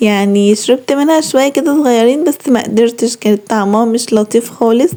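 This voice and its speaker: A woman at a fairly high pitch and moderate pace, with noticeable background noise. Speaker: lifestyle vlogger. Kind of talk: vlog narration. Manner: casual, chatty.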